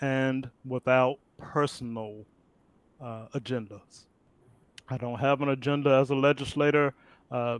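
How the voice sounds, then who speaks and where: With an American accent and a medium pitch, a man talks at a fairly slow pace in a monotone, flat intonation, leaving long, frequent pauses, in a dry, close sound with no echo. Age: 60s. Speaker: political candidate. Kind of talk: virtual Q&A interview. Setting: video call. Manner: halting, many fillers.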